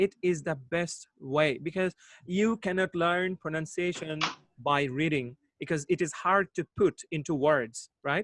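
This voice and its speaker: A man speaks at a high pitch for a man, fairly slowly, with ordinary pitch variation. The sound is dry and close, with no echo. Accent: Bangladeshi. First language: Bangla. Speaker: English teacher, online host. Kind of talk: live online discussion. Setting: video call.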